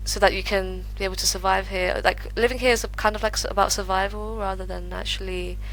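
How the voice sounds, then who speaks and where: A woman rushes along at a very fast pace, hardly pausing at all, with noticeable background noise in the recording. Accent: British. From UK, London. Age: 20s. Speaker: remote web designer planning a move abroad. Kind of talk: interview conversation.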